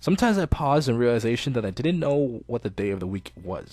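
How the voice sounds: The voice reads in a natural way. Its intonation rises and falls with liveliness.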